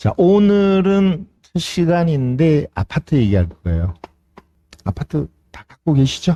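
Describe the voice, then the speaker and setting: Pausing long and often at a very slow pace, a man speaks at a fairly high pitch with lively intonation and a dark, mellow tone, in a dry, close sound with no echo. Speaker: real estate auction instructor. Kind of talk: lecture.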